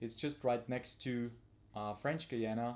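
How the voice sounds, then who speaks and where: A man's dark, mellow voice with a non-native accent, at a fairly slow pace. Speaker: tarantula hobbyist and field trip presenter. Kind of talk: live stream presentation. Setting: home at night, live stream. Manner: quiet, not too loud; halting with many fillers.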